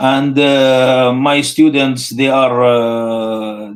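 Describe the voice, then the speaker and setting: A man speaks at medium pitch. He has an Arabic accent. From Syria, Homs. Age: 60s. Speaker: Islamic scholar, professor. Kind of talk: live interview. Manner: halting, many fillers.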